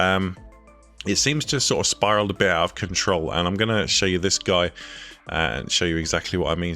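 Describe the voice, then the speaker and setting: Over music in the background, a man with a very deep, low voice talks with ordinary pitch variation. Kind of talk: casual reaction commentary to camera.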